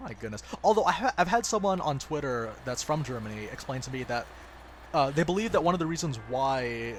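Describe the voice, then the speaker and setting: Noticeable background noise sits behind a man speaking fairly quickly in a fairly high pitch. His pitch swings very widely and his loudness rises and falls sharply. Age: 20s. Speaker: gaming streamer. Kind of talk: casual live stream chat.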